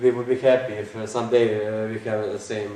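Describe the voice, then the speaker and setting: With a Croatian accent, a man speaks at a fairly low pitch in a monotone, flat intonation. Noticeable background noise and audible room echo are present. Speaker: conference speaker. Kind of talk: lecture. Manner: halting, many fillers.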